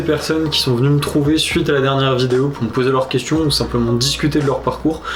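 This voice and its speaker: Amid noticeable background noise and audible room echo, a man talks at a fairly high pitch and a fairly quick pace. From northern France, Dunkerque. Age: 20s. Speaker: freelance photographer and filmmaker, student. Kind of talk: casual vlog monologue. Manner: animated.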